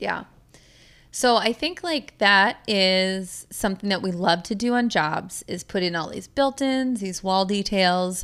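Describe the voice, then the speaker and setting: A woman's plain, everyday voice at a medium pitch, fairly slow pace and ordinary pitch variation, on a very clean recording with a silent background. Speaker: podcast host and custom home builder. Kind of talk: casual interview chat. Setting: studio.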